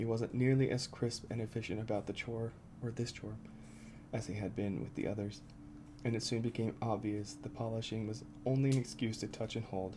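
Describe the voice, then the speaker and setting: Soft-spoken and somewhat breathy, the voice has a dark, mellow tone. It moves at a fairly quick pace with fairly even intonation. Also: man, medium pitch for a man. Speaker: ASMR creator. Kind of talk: ASMR book reading.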